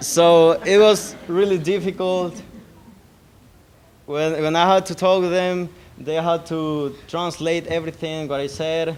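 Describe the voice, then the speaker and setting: A man with a Salvadoran accent speaks at a fairly slow pace in a high pitch. His intonation stays monotone and flat. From El Salvador. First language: Spanish. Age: 20s. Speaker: GED graduate. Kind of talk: graduation speech. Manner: halting, many repetitions.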